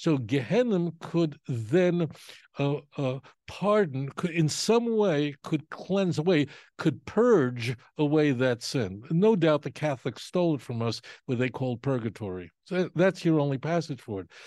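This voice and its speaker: Over a quiet background, a man with a fairly high pitch and a dark, mellow tone moves through very wide pitch swings. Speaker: rabbi. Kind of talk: interview, explanatory teaching. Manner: emphatic, explanatory.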